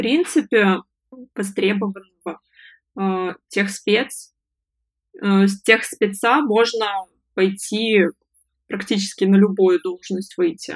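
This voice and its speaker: Long, frequent pauses interrupt delivery that unfolds at a very slow pace. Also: woman, medium pitch for a woman, ordinary pitch variation. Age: 20s. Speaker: freelance online service manager, former fast-food manager. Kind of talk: interview, personal story.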